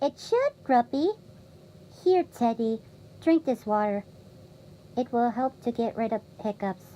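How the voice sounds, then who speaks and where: A female-sounding put-on character voice speaks at a high pitch. Long, frequent pauses break up the speech. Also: moderate pace. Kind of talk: audio drama dialogue.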